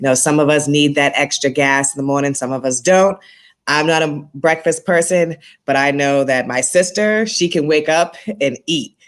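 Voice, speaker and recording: A woman with a slight Boston accent speaks at a very deep, low pitch and moderate pace. Her pitch variation is ordinary, on a very clean recording with a silent background. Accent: slight Boston accent, noticeable on R words. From Boston, Massachusetts. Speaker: school staff member and basketball coach. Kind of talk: interview.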